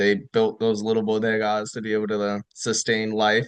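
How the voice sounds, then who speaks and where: A man with a New York accent speaks at a fairly low pitch. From New York, Rockland County. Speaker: retired army officer. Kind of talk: casual chat.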